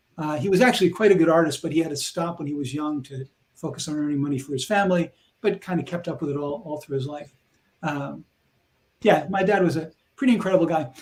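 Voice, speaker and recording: A man with an American accent talks at a very fast pace, his fairly high pitch showing ordinary variation. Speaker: programming educator. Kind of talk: live stream chat.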